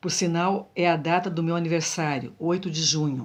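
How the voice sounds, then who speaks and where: An ordinary speaking voice, moderately paced, over a silent background in a very clean recording. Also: woman. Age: 60s. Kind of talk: religious testimony monologue.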